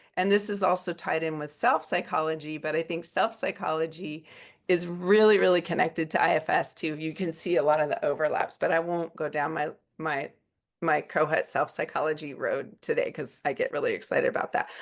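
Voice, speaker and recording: This is a woman with an ordinary speaking voice, fairly low in pitch and fairly even in intonation. She talks at a fairly quick pace against a quiet background. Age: 60s. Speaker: psychiatrist. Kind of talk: lecture. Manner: casual, with many fillers.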